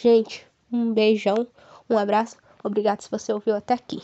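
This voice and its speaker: A woman speaks at a moderate pace. Her pitch sits fairly high. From Brazil, Paraná (Ivaiporã). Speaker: podcast host, psychology student. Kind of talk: casual solo podcast monologue. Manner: warm, animated.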